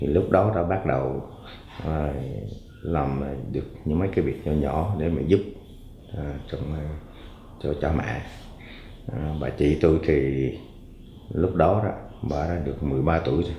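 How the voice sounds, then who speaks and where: A man with a very deep, low voice speaks at a fairly slow pace with ordinary pitch variation, leaving long, frequent pauses, and the room echo is audible. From Quang Ngai, central Vietnam. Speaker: interviewee telling his life story. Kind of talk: life story recollection. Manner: halting, many fillers.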